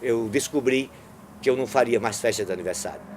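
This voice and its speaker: There is noticeable background noise behind this man. He speaks fairly quickly at a medium pitch. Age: 60s. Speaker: street clown. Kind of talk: interview storytelling.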